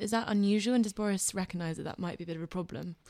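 Talking at a very fast pace, a woman with a British accent uses a medium pitch and ordinary pitch variation. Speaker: podcast host and editor. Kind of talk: podcast hosting.

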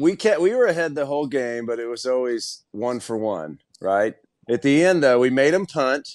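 In a quiet background, a man with an ordinary speaking voice and an American accent talks at a moderate pace, his medium pitch carrying lively intonation. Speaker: former football player, radio host. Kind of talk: casual chat.

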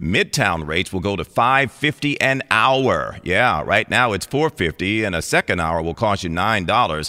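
A man with a fairly low pitch and a bright, sharp tone speaks at a moderate pace with hardly any pauses and very wide pitch swings. The recording is very clean, with a silent background and a dry, close sound with no echo. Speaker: radio news anchor. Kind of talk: radio news anchor reading a brisk, scripted local headline bulletin. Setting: radio studio. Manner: crisp, formal, steady newsreader delivery.

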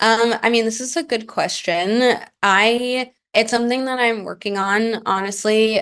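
In an ordinary speaking voice, a woman talks at a fairly high pitch and fairly slow pace with fairly even intonation. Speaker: advice seeker. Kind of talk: casual chat.

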